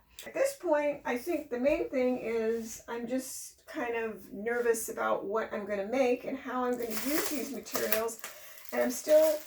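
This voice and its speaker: Over noticeable background noise, a woman with a high pitch speaks fairly slowly with ordinary pitch variation. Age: 60s. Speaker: fashion show contestant, florist. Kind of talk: casual interview.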